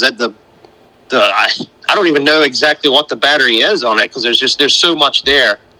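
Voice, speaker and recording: Speaking very fast with a slight North Carolina accent, a man with a fairly high pitch is heard over noticeable background noise. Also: dry, close sound with no echo. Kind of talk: casual interview.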